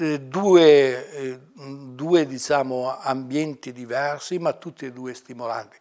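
A man speaks at a very slow pace in a medium pitch with ordinary pitch variation. The background is quiet. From Italy, Mantua province (Lombardy); Lombardy, Italy. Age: 60s. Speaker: retired university librarian. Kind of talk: oral history interview. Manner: halting, many fillers. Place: office.

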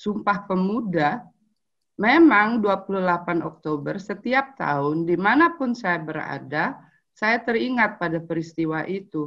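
With a quiet background behind her, a woman speaks at a very slow pace with lively intonation. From Indonesia, Palembang; Indonesia. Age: 50s. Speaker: anthropologist and writer; webinar speaker. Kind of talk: prepared talk read aloud. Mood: calm, reflective. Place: home room. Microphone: video call.

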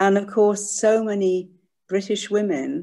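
At a fairly slow pace, a woman speaks in a dark, mellow tone. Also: quiet background. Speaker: audience member. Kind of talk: Q&A question. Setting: video call. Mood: appreciative, thoughtful. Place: home room. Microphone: video call.

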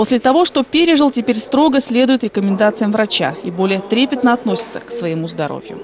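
A woman's fairly high voice, fairly quick and lively, with hardly any pauses and noticeable background noise. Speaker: TV news reporter. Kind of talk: news report narration.

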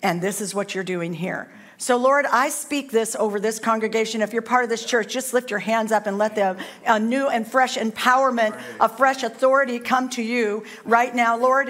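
Light background noise sits behind a woman speaking at a moderate pace. Her intonation is fairly even. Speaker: guest preacher. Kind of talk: sermon. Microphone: headset.

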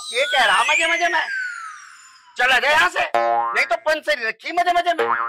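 Sound effects play in the background as a whiny, sing-song put-on character voice talks at a moderate pace. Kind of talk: slapstick dehati comedy. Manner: whiny, sing-song, repeats a catchphrase.

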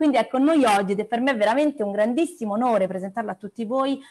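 A very fast-talking woman over a quiet background. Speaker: meeting host. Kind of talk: introduction of a guest. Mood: cheerful, laughing. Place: home room. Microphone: earbuds.

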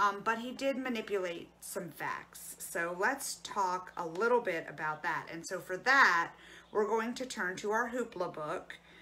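A woman's bright, sharp tone at a moderate pace. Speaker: librarian or storyteller. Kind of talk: educational talk and read-aloud. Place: home room. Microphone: phone near.

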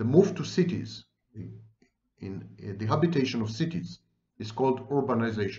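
Over a quiet background, a man speaks at a fairly slow pace with vocal fry. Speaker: commentator on psychology. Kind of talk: lecture. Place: home room. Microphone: webcam.

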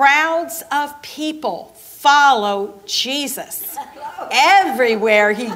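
Very slowly, a woman speaks high with very wide pitch swings. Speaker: narrator at children's program. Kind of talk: story reading aloud. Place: church.

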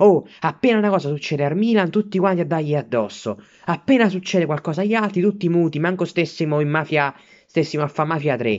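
A man with a furious tone at a very fast pace over a quiet background. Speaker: Milan fan vlogger. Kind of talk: angry rant, foul-mouthed sports fan tirade. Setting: self-filmed video at home while studying. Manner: furious, sputtering, swearing in almost every sentence; indignant, repetitive, outraged, shouting at rivals. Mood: angry, indignant. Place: home room. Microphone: phone near.

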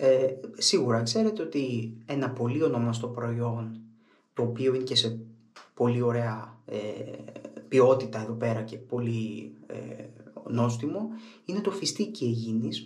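A man speaks at a fairly slow pace. Long, frequent pauses break up his speech, which has ordinary pitch variation. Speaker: shaving product reviewer. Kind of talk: casual vlog chat. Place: bathroom. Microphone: camera far.

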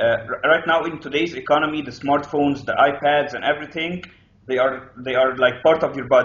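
A man's speech at a fairly quick pace, with audible room echo. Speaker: interview guest. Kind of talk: interview answer. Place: home room. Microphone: video call.

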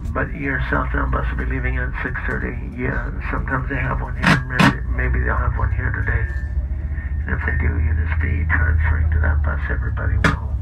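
Fairly quick speech over loud background noise. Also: man. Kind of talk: public announcement. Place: bus. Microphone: pa.

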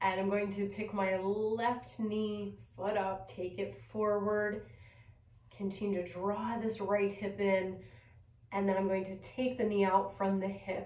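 A woman's medium-pitched voice at a fairly slow pace, with audible room echo. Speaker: yoga teacher. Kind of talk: guided yoga class instruction, cueing poses and breath. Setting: video recorded at home. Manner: calm, gentle, soothing; slow, measured, with pauses between cues. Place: home room.

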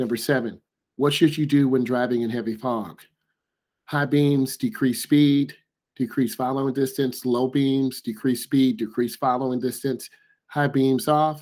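The background is quiet. A man speaks with fairly even intonation. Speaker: driving instructor. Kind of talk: tutorial. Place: home room. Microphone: webcam.

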